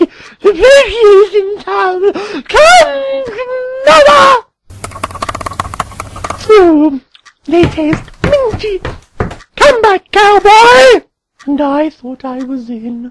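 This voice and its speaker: Using a put-on character voice at an extremely high pitch, a woman speaks at a very slow pace with long, frequent pauses, very wide pitch swings and big swings in loudness. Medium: audio drama. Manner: bawdy, flirtatious.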